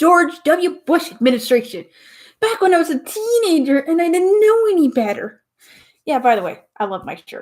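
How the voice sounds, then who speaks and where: Her pitch swings very widely as this woman keeps a moderate pace. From Tennessee. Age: 30s. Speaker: podcast host. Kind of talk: casual live-stream monologue. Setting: live stream at home.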